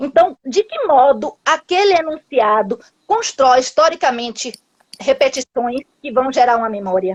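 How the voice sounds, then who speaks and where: A woman speaks at a fairly slow pace in a high voice with lively intonation. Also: dry, close sound with no echo. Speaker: linguistics professor. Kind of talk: academic talk in live interview. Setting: video call live stream.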